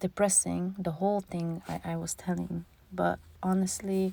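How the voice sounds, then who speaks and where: With a non-native accent and a dark, mellow tone, a woman speaks at medium pitch and a moderate pace. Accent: foreign accent in English. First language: not English. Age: 40s. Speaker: vlogger. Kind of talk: voiceover monologue. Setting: in a closet.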